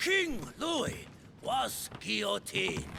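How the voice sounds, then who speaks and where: Putting on a loud, raspy character voice, a man performs over clear background noise. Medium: video game. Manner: loud, accusatory.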